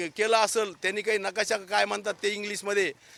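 A man with a high pitch projects a raised voice in a bright, sharp tone, recorded dry and close with no echo. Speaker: army veteran and local politician. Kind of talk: on-the-spot news interview.

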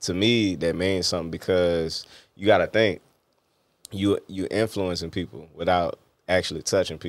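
A man speaks at a moderate pace in a very deep, low voice, with fairly even intonation and big swings in loudness. The sound is dry with no echo, against a quiet background. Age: 30s. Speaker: interview show host; interview guest. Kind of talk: casual interview chat. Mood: relaxed, reflective. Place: studio. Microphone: studio mic.

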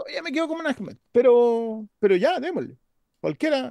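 A man with a Chilean accent makes very wide pitch swings in a dark, mellow tone, the sound dry with no echo. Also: quiet background. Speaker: podcast co-host. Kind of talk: casual chat. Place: home room. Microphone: webcam.

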